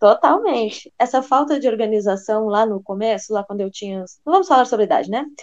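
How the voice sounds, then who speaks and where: In an ordinary speaking voice, a woman with a fairly high pitch talks at a fairly quick pace with lively intonation and hardly any pauses. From Brazil, Rio Grande do Sul. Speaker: French teacher, podcast co-host. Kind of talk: casual chat.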